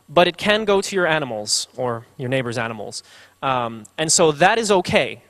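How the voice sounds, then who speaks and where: A man with a fairly high pitch talks in very wide pitch swings. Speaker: conference speaker. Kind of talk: conference talk. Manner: fast; halting, many fillers and repeats.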